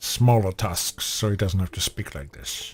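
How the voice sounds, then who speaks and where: In a put-on character voice, a man sounds guttural and fairly low-pitched at a moderate pace, on a very clean recording with a silent background. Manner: gruff, growling.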